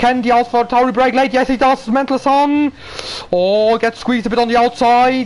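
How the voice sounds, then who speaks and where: With music playing behind him, a man delivers his words at a moderate tempo. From Germany. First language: German. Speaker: sim racing commentator. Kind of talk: live commentary. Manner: animated.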